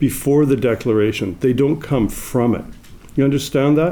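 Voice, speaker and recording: Speech in a Canadian accent with ordinary pitch variation and audible room echo. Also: man. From Canada. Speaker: legal scholar. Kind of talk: conference talk. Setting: stage with audience.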